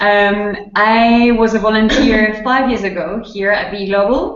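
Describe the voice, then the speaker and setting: A woman speaks with a strong French accent in a fairly high pitch. Her pace is fairly slow and her intonation monotone and flat. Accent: thick French. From France. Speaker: volunteer program presenter. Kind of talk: webinar information session. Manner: halting.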